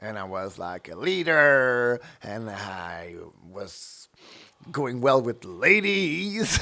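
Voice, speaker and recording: In a French Canadian accent, a man speaks very slowly at a medium pitch with long, frequent pauses, a bright, sharp tone, big swings in loudness and very wide pitch swings. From Quebec. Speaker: drag performer. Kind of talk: interview. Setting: radio studio. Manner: halting.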